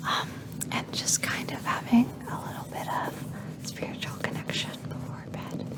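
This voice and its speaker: A whispering voice unfolds at a fairly slow pace. Behind it, background noise is noticeable. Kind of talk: ASMR personal attention. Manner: whispered; soft-spoken, slow.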